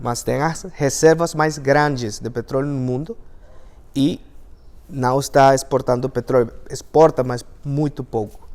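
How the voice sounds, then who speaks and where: Here a man speaks at a fairly high pitch and a fairly slow pace. His intonation is fairly even, with long, frequent pauses. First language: Spanish (speaking Portuguese). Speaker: engineer and language teacher. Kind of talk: talk to an audience. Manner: halting, many fillers.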